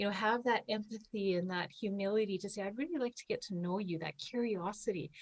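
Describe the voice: A woman of medium pitch speaks at a fairly quick pace with ordinary pitch variation.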